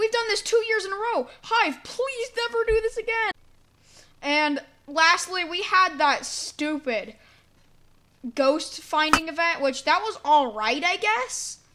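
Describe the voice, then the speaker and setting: This woman's voice is animated and raised to project, with an extremely high pitch, very wide pitch swings and a fairly slow pace. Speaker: gaming youtuber. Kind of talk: casual commentary reviewing old predictions. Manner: animated, casual.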